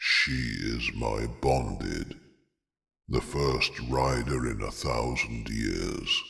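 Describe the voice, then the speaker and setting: A man speaks in a put-on character voice with very deep, low pitch. His pace is very slow. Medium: read story. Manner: steady, grave.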